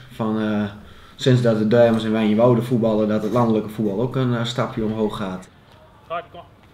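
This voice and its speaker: A man's medium-pitched voice at a moderate pace, fairly even in intonation but with big swings in loudness, plus audible room echo. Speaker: farmer and football club board member. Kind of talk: interview. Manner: hesitant with fillers.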